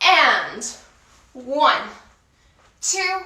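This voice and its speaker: A woman uses a raised, projected voice with a bright, sharp tone, and audible room echo fills the space. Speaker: dancer and workout instructor. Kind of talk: guided workout instruction. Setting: online video class. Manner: counts rhythmically.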